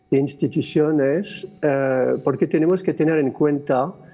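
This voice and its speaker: A man with a French accent speaks at a very slow pace with fairly even intonation while music plays in the background. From France. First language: French (speaking Spanish). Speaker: theatre director. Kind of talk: panel discussion. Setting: stage with audience. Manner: halting, many fillers.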